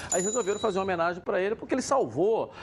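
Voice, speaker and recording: The speech comes at a very fast pace. Its intonation is lively. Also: man. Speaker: football pundit. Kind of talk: studio panel debate.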